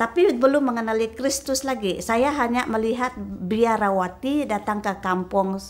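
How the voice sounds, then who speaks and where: A fairly high-pitched woman at a fairly slow pace, with ordinary pitch variation. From Sarawak, Malaysia (Melanau). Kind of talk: interview testimony. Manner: halting, many fillers.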